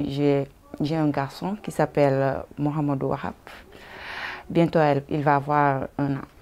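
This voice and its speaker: A woman talks at a fairly slow pace in a very deep, low pitch, with monotone, flat intonation. Long, frequent pauses break her speech, and there is noticeable background noise. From Senegal, Casamance. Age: 30s. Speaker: migrant woman, language learner. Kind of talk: interview. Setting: indoors at a women's centre. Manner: halting.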